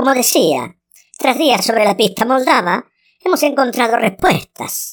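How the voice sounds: A woman uses a put-on character voice, pitched high. She delivers it at a fairly slow pace.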